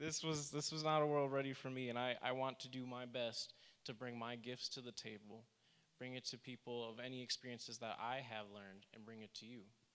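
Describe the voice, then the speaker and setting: Speaking at a medium pitch with fairly even intonation, the man has an ordinary speaking voice. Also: fairly quick pace. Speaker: workshop presenter. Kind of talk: presentation.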